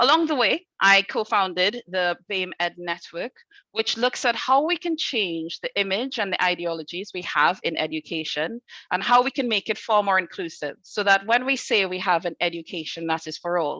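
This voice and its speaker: A woman with a Trinidadian accent speaks at a medium pitch and a moderate pace, her tone bright and sharp. Her intonation is lively, and the sound is dry and close with no echo. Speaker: head teacher. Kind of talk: conference talk. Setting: video call from school.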